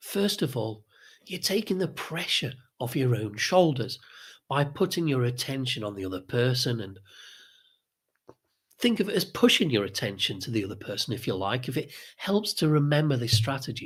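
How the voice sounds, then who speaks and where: On a very clean recording with a silent background, a man's somewhat breathy voice moves through very wide pitch swings with long, frequent pauses. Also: medium pitch for a man, moderate pace. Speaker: social skills coach. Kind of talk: tutorial.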